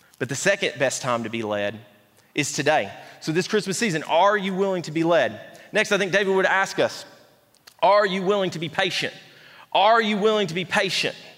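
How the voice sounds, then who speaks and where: At a fairly quick pace, a man with a high pitch speaks with lively intonation. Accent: Appalachian. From East Tennessee. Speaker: pastor. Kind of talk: sermon. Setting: church.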